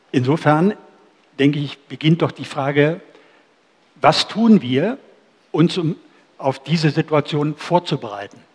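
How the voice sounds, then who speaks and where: A man with a fairly high pitch speaks at a fairly slow pace, somewhat breathy, with long, frequent pauses. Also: ordinary pitch variation, quiet background. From Germany, near former GDR. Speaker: event moderator. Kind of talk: moderated discussion. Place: cafe. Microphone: headset.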